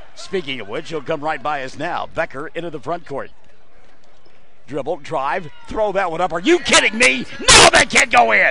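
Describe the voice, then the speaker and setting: A man shouting in a high pitch at a moderate pace, with lively intonation, big swings in loudness and noticeable background noise. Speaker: play-by-play sports announcer. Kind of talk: live commentary. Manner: loud, yelling.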